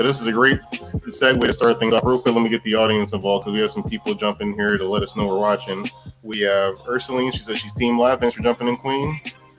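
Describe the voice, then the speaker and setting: Against music in the background, the speech runs very fast with hardly any pauses and fairly even intonation. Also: man, medium pitch for a man. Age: 40s. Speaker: live show host, life insurance agent. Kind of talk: live interview show.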